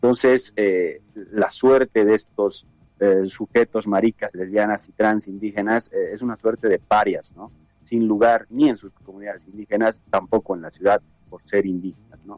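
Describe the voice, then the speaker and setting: Music plays in the background as a man with a fairly low pitch speaks at a moderate pace, his intonation fairly even and his loudness swinging widely, the sound dry and close with no echo. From Bolivia. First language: Quechua (speaking Spanish). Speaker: activist. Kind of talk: interview. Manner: halting.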